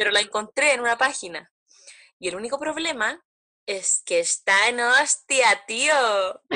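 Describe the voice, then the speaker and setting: A woman with a Chilean accent talks at a fairly slow pace in a fairly high pitch, her bright, sharp tone carrying lively intonation against a quiet background. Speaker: podcast co-host. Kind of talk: casual chat.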